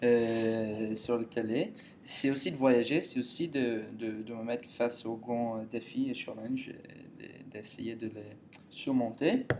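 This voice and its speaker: A man speaks at a very slow pace with medium pitch and fairly even intonation. His loudness swings a lot. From Ireland. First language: English (speaking French). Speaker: contestant applicant. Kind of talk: casual chat. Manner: halting.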